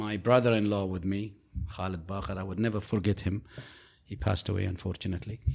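Fairly even intonation from a male speaker. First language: Arabic. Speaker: business founder. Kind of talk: interview.

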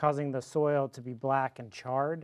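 A man with a normal speaking voice, an American accent, a medium pitch and a moderate pace. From Fort Worth, Texas. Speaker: distillery owner, former attorney. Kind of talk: casual interview.

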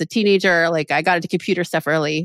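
Against a quiet background, a woman with an American accent and a medium pitch talks at a very fast pace in a dry, close sound with no echo. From Maryland, US. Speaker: software entrepreneur and educator. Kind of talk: podcast interview. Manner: animated.

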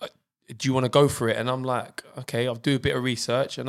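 Medium-pitched male voice, flat and monotone, on a very clean recording with a silent background. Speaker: personal trainer. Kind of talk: casual interview.

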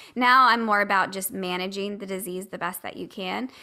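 A woman's bright, sharp, medium-pitched voice at a fairly quick pace with ordinary pitch variation. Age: 30s. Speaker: podcaster and patient. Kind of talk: casual chat.

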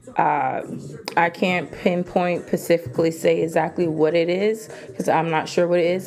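A fairly low-pitched female voice amid noticeable background noise. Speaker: podcast host. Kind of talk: casual monologue. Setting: home video recording. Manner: animated.

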